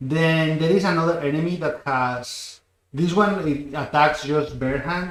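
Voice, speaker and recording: A man talks with a Catalan accent. His intonation stays fairly even. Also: fairly high pitch for a man, fairly slow pace. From Spain, Barcelona. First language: Spanish. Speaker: game developer. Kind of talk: live stream chat. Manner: halting.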